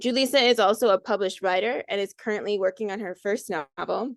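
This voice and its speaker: Over a quiet background, a woman with an American accent speaks at medium pitch with ordinary pitch variation, the sound dry and close with no echo. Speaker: workshop host and organizer. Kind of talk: live video workshop moderation.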